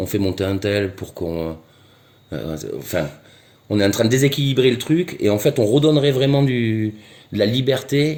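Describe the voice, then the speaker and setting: A man's lively intonation stays around a medium pitch as he talks at a moderate speed. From southwest France (Gers). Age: 40s. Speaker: street interviewee. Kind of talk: street interview. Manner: halting, many hesitations and repetitions.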